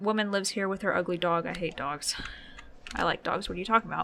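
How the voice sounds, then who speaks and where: In a raspy, put-on character voice at middle pitch, the speaker rushes at a very fast pace against clear background noise. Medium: game stream. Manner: casual, joking.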